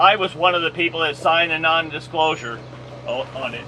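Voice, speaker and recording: A man talks very fast in a fairly high pitch as clear background noise carries on. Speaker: town council member. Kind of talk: town hall comment. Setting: coffee shop community meeting, no microphone. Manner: loud; halting.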